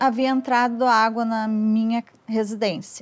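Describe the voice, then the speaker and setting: A woman talks at a very slow pace. Her voice is fairly high in pitch. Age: 60s. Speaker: retired bank worker, flood victim. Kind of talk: documentary interview testimony.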